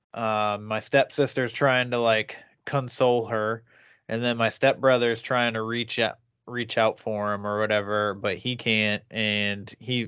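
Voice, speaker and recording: A man's plain, everyday voice at medium pitch, over a quiet background. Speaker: podcast host. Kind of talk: casual chat. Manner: profane, casual.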